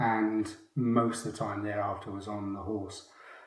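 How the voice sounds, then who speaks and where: Heard with audible room echo, a man speaks at a moderate pace and medium pitch in a somewhat breathy voice. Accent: Welsh. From Wales. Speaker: retired mounted police officer. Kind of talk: interview.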